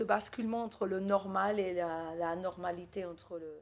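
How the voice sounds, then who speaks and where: A woman speaks at a fairly slow pace with an Argentine accent. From Argentina. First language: Spanish (speaking French). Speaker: novelist. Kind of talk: literary talk. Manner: animated.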